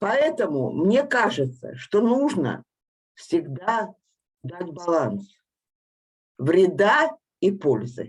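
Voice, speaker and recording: A woman speaks very slowly at medium pitch, with long, frequent pauses. Her voice shows very wide pitch swings and vocal fry. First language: Russian. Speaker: engineer, panel participant. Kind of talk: panel discussion.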